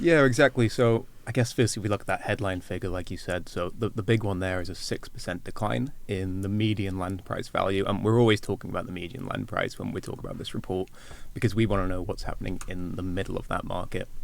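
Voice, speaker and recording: A man's fairly low voice in a Welsh accent at a very fast pace, with hardly any pauses. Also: ordinary pitch variation. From Wales. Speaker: agricultural market analyst. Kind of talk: podcast interview.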